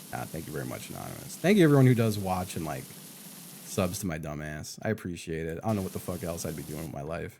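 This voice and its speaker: Very fast and very deep, a man's voice has a dark, mellow tone, lively intonation, and big swings in loudness. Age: 40s. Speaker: video game streamer. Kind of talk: casual live stream chat. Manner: casual, profane.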